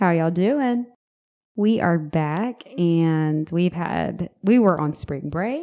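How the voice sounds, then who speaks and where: A woman with a Southern US accent, a dark, mellow tone, fairly low pitch, lively intonation and a very slow pace. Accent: Southern US, city. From US South. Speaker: podcast host. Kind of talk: casual chat. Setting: home office. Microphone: echoey room.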